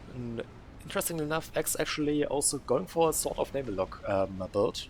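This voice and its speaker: A man's voice with very wide pitch swings, music in the background. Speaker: game caster. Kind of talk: live commentary. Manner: halting.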